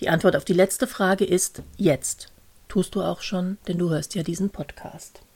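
A woman talks at a fairly slow pace, her voice somewhat breathy. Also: medium pitch for a woman, ordinary pitch variation. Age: 50s. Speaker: podcast host and coach. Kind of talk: solo podcast monologue.

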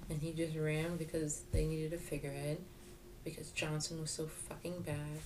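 Her voice is very deep and low for a woman, and she speaks at a fairly quick pace. Audible room echo surrounds her. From New York, Jamaican heritage. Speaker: podcast co-host. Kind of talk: casual political chat.

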